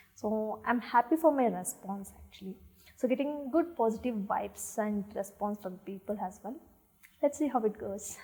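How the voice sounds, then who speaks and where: With a South Indian accent, this somewhat breathy voice has a dark, mellow tone, lively intonation, big swings in loudness and a moderate pace. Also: woman, fairly high pitch for a woman. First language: Tulu. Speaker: actress. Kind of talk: interview. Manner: halting, many fillers.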